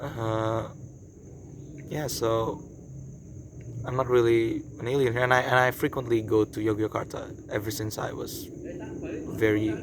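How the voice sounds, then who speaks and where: Against noticeable background noise, a man with an Indonesian accent speaks in a monotone, flat way at a fairly slow pace. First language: Indonesian or Javanese. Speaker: vlogger and traditional archer. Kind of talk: casual vlog talk to camera. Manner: halting, many fillers and repeats.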